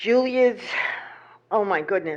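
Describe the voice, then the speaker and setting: A woman speaks in a normal speaking voice. Her pace is moderate and her pitch variation ordinary. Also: quiet background. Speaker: public commenter at town meeting. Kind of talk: public comment and reading a letter aloud. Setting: town council meeting.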